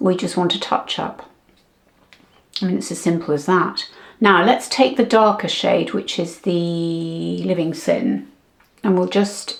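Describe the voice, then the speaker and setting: A woman speaks at a fairly slow pace in a medium pitch, with vocal fry. Her pitch variation is ordinary, and she leaves long, frequent pauses. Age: 70s. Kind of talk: casual talk to camera.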